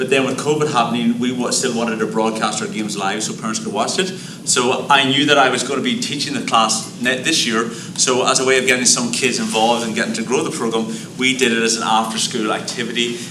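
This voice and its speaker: A man with an Irish accent at a very fast pace with hardly any pauses, medium pitch and ordinary pitch variation, amid audible room echo and noticeable background noise. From Ireland. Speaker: high school teacher. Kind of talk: presentation at board meeting.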